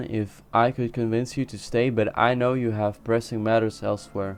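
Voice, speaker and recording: A man with a non-native accent speaks with fairly even intonation. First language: not English. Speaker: video game streamer. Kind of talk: casual gaming commentary; reading quest text aloud. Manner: halting, frequent self-corrections.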